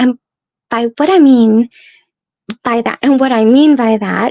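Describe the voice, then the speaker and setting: A woman with an American accent speaks fairly slowly at a high pitch. The sound is dry and close, with no echo. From US West (Las Vegas, Nevada). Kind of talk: promotional video talk. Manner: animated.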